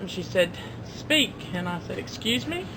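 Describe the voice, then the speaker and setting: The speech is in an American accent, with audible room echo. Noticeable background noise is present. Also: woman. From Ocracoke, Outer Banks, North Carolina. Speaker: shop worker. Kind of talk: storytelling.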